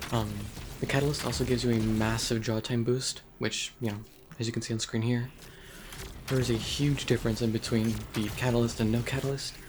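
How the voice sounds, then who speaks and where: A man's medium-pitched, flat, monotone voice at a fairly quick pace, with long, frequent pauses and noticeable background noise. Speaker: gaming video creator. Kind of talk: gameplay tutorial. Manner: soft-spoken; hesitant, many ums. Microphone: poor recording quality.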